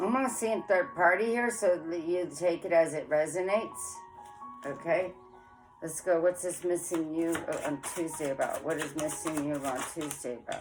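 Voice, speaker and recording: Music plays behind a woman who speaks at a fairly low pitch. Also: lively intonation, moderate pace. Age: 40s. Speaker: tarot reader. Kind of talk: casual tarot reading to camera. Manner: frank, forthright.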